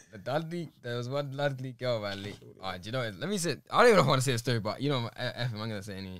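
A man at medium pitch talks very fast with hardly any pauses and lively intonation. His loudness swings widely, and the sound is dry with no echo. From London. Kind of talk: casual podcast conversation. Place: studio. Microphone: studio mic.

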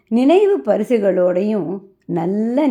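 A woman's medium-pitched voice with a dark, mellow tone and lively intonation. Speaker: retired stenographer, vlogger. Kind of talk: personal vlog narration.

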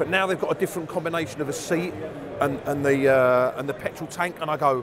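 Against noticeable background noise, a man talks at a very fast pace in a dry sound with no echo. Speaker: interviewee. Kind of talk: interview answer. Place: hall.

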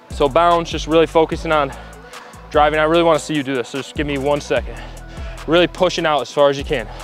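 A man rattles along at a very fast pace. The sound is dry with no echo, and faint music plays in the background. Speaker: trainer coaching an athlete. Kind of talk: coaching instruction. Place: hall.

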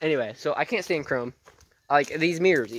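A man in a dry sound with no echo, plus noticeable background noise. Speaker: vlogger. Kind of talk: casual vlog chat. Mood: relaxed, chatty. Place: open country. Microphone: phone near.

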